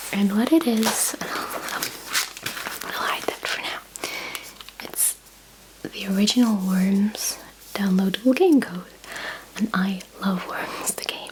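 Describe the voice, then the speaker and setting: Whispering at a very slow pace with long, frequent pauses, a woman shows big swings in loudness over noticeable background noise. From Britain. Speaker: ASMR creator. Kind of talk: ASMR unboxing, whispered talk to camera. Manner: whispered, soft-spoken.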